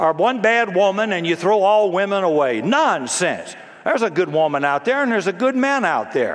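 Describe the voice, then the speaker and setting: Amid noticeable background noise, the speaker keeps a moderate pace and very even loudness while the pitch swings very widely. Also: man, high pitch for a man. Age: 70s. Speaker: pastor. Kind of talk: sermon. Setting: church. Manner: animated.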